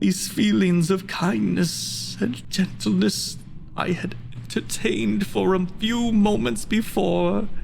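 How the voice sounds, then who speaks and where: Someone performs a put-on character voice at a fairly slow pace, with clear background noise behind it. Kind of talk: dramatic monologue performance.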